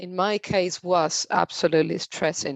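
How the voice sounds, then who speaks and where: A woman speaks at a very slow pace with a fairly low pitch and fairly even intonation. The sound is dry and close with no echo, over a quiet background. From Spain. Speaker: company representative, presenter. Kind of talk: online health presentation.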